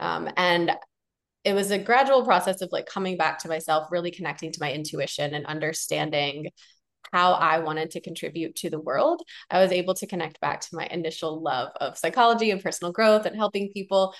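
A woman's unremarkable speaking voice, fairly low in pitch with ordinary pitch variation, with a General American accent at a fairly quick pace. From United States. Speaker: physician turned coach and podcaster. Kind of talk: casual interview.

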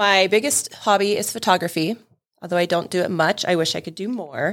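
Speaking with an American accent, a woman has a plain, everyday voice at medium pitch with ordinary pitch variation and a moderate pace, on a very clean recording with a silent background. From California (Sacramento), teens in Montana. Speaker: payroll employee. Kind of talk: casual interview chat.

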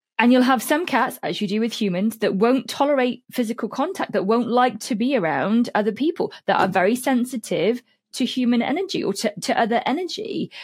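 A woman with a British accent, high-pitched and lively in intonation, at a fairly quick pace. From UK. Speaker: holistic cat therapist and author. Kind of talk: interview, explaining.

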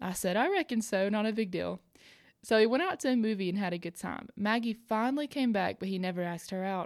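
A woman with a Southern US accent at a very fast pace, on a very clean recording with a silent background. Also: medium pitch for a woman, ordinary pitch variation. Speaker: podcast host. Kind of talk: scripted-style podcast hosting with story readings.

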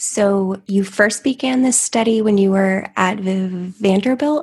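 Somewhat breathy, a woman speaks at medium pitch and a fairly slow pace, with ordinary pitch variation. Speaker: podcast host. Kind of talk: interview.

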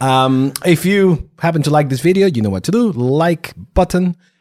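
A man's fairly high voice with a non-native accent, very wide pitch swings and a moderate pace. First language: not English. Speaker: podcast host. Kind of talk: casual interview.

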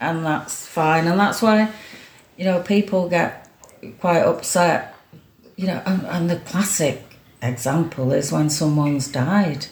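A woman's fairly low, fairly slow voice with a slight Manchester accent and audible room echo. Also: ordinary pitch variation. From Greater Manchester, Stockport. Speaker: former mayor and community volunteer. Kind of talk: casual interview. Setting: at home.

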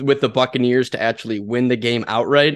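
A man talks at a medium pitch. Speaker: co-host, sports bettor. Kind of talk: casual chat, sports betting show. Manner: animated, crude.

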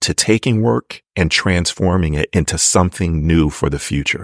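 With an American accent, a man talks at a moderate pace in a very deep, low pitch with vocal fry, the sound dry and close with no echo. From US, Maryland. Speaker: actor and acting teacher. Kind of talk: casual chat.

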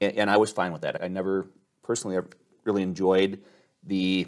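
A man's normal speaking voice, fairly low in pitch and at a fairly quick pace, in a very clean recording with a silent background. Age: 50s. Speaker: insurance agency owner. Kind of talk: interview. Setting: on location.

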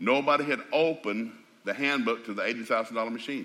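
Bright and sharp in tone, a man's voice sits at a medium pitch with ordinary pitch variation and a Southern US accent. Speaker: preacher. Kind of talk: folksy, humorous storytelling. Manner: fast talker.

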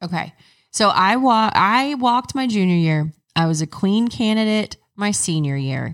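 With an American accent, a woman speaks at medium pitch and a moderate pace. Her intonation is lively, and the recording is very clean with a silent background. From southeast Oklahoma. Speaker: podcast host. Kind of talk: casual chat. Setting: in a car. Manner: animated.

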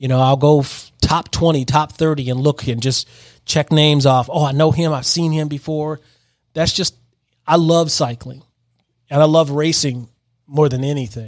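A man's fairly high voice at a moderate pace and with fairly even intonation, on a very clean recording with a silent background. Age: 50s. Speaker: cycling podcast host. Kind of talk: personal storytelling monologue. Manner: halting, many fillers.

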